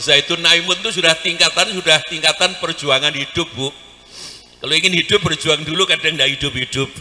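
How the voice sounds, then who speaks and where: A man talks at a fairly quick pace with a fairly high pitch. His tone is animated, with noticeable background noise behind him. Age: 60s. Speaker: Islamic preacher. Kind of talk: sermon.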